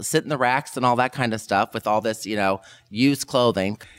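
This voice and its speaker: A man with ordinary pitch variation and an ordinary speaking voice. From US Midwest (Kansas, then Indiana). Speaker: fashion professor. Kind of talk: interview.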